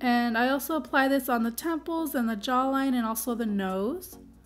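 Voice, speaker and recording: A woman talks with a high pitch and ordinary pitch variation. Music plays in the background. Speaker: makeup artist / beauty vlogger. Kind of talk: makeup tutorial narration.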